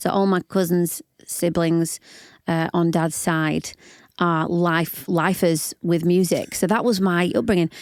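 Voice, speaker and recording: A woman with a Yorkshire accent, fairly low in pitch and fairly slow, with fairly even intonation, on a very clean recording with a silent background and a dry, close sound with no echo. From northern England, Yorkshire (Barnsley). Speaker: singer-songwriter and worship leader. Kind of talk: podcast interview. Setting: studio.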